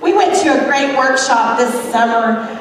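Strong room echo and light background noise surround a woman speaking at a moderate pace. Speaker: teacher performer. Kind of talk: stage comedy monologue. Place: stage.

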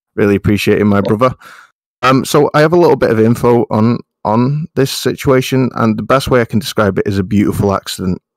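The man has a British accent and a fairly quick pace. His ordinary pitch variation comes through a dry, close sound with no echo. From UK. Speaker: gaming podcast panelist.

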